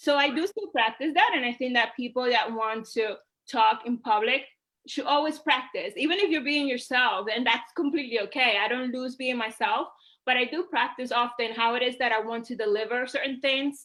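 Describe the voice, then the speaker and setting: A woman in a Puerto Rican accent speaks at a moderate pace with a high pitch, a bright, sharp tone and ordinary pitch variation. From Puerto Rico. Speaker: social media host. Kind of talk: interview.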